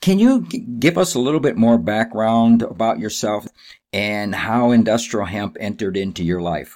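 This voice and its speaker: At a moderate pace, a man in a normal speaking voice talks at medium pitch with lively intonation. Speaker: podcast host. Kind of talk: interview intro and conversation.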